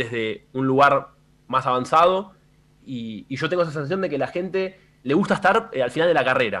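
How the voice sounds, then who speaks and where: A man with a fairly high pitch speaks in an unremarkable speaking voice. He moves at a fairly quick pace with lively intonation. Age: 20s. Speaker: streamer. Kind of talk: radio interview.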